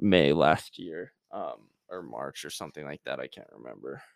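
A man talks at a fairly slow pace with vocal fry. The recording is very clean and the background silent. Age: 20s. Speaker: podcast host, aspiring medical student. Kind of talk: casual solo podcast monologue; scripted educational talk. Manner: hesitant, many fillers.

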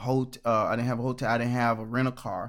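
A man in an American accent, speaking in a flat monotone on a very clean recording with a silent background. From Orlando, Florida. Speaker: gospel musician. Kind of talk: casual interview.

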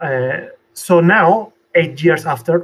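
The voice has a Spanish accent. Its pitch varies in an ordinary way. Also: man. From Venezuela. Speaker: technical artist. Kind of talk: interview. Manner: halting, with many fillers.

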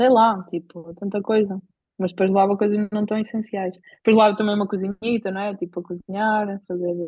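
This woman has a European Portuguese accent and talks at a fairly quick pace. Her intonation is monotone and flat. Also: medium pitch for a woman. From Portugal. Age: 20s. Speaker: bicycle traveller. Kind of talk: casual chat.

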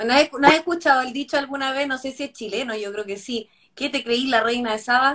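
Her voice is high, bright and sharp, with ordinary pitch variation. The woman speaks at a fairly quick pace, and her loudness swings widely. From Chile. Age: 40s. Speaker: healthy eating advocate and live show host. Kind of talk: casual chat.

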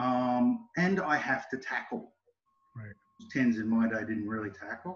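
This man speaks with an Australian accent at a medium pitch. His intonation is lively and his pace fairly slow. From Sydney, Australia. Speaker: rugby coach. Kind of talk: interview conversation.

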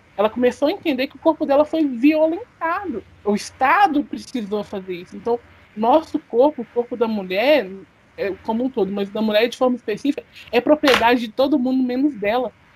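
Delivered at a fairly quick pace with lively intonation and big swings in loudness, the speech has a dry, close sound with no echo and noticeable background noise. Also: woman, high pitch for a woman. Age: 20s. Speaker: podcast co-host, business student. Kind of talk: casual discussion of a serious news topic.

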